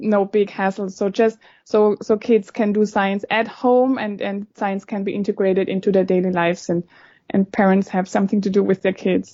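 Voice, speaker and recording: Monotone, flat intonation from a woman at a medium pitch and moderate pace, with a German accent. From Germany. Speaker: scientist. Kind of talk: podcast interview.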